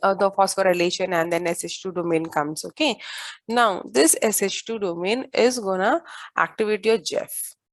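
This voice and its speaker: Against a quiet background, a woman speaks with an Indian accent at a moderate pace. Her pitch is medium, with ordinary variation. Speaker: biology teacher. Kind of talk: lecture.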